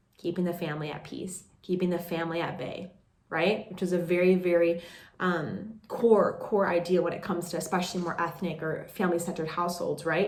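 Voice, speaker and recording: Over noticeable background noise, a woman with a fairly low pitch and a warm tone talks at a fairly quick pace. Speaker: life coach and podcast host. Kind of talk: podcast monologue, casual talk to camera. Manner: warm, conversational, validating.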